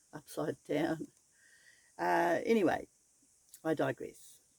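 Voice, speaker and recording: A woman with an Australian accent is heard in a dry, close recording with no echo. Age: 70s. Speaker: vanlifer. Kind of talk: casual talk to camera.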